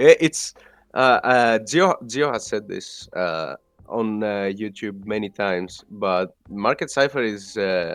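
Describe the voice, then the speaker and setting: At a very slow pace and with a non-native accent, a man speaks in a fairly low pitch with ordinary pitch variation against a quiet background. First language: not English. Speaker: podcast co-host, crypto trader. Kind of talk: casual chat. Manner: halting.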